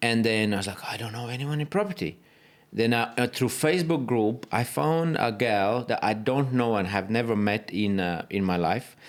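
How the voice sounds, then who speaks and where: A man talks with a Latvian accent and lively intonation. The recording is very clean, with a silent background. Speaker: property photographer and business owner. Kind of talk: podcast interview. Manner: halting.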